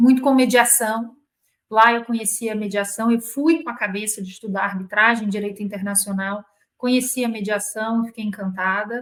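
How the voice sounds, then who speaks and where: In a Rio de Janeiro accent, a woman speaks at a moderate pace. Her pitch is fairly high and her intonation fairly even. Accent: carioca. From Rio de Janeiro, Brazil. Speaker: corporate lawyer. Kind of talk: interview.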